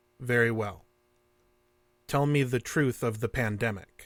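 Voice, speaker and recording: Using a put-on character voice, a man speaks at a moderate pace and medium pitch on a very clean recording with a silent background. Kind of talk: stilted formal speech. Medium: audio drama. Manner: formal, detached, repetitive.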